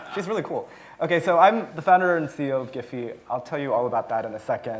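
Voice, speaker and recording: Talking at a very fast pace with lively intonation, a man with an American accent is heard with audible room echo. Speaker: tech company founder and CEO. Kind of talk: conference talk. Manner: casual, many filler words.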